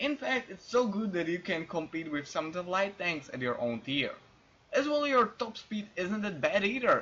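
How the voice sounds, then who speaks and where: A non-native accent at a moderate pace, with noticeable background noise. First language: not English. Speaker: gaming video narrator. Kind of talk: game guide voice-over.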